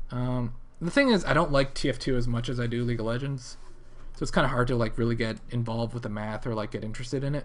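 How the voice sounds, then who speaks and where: With an American accent, a man talks at a very fast pace and a medium pitch. His intonation is fairly even, and the room echo is audible. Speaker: gaming video creator streaming. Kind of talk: live stream chat and Q&A. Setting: live stream. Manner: casual, rambling with fillers.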